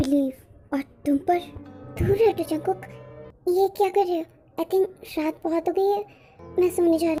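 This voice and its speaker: A female-sounding, put-on character voice talks at a fairly quick pace with an extremely high pitch. Long, frequent pauses break it up, and faint music plays in the background. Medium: fan dub. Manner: soft, hesitant.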